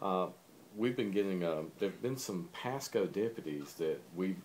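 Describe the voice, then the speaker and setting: A man speaks with a fairly low pitch and a Southern accent. His intonation is lively. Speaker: interviewer. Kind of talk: interview.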